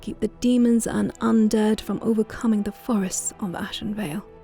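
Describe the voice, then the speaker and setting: Music plays in the background as a woman speaks. Her fairly high voice moves at a fairly quick pace with fairly even intonation. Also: hardly any pauses. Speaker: gaming channel host and lore reader. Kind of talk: lore reading, ASMR-style narration.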